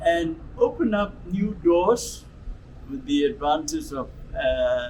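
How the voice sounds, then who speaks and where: A man with a high voice swings his pitch very widely. Noticeable background noise runs underneath. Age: 80s+. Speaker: retired pastor and charity founder. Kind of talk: interview testimony. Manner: halting.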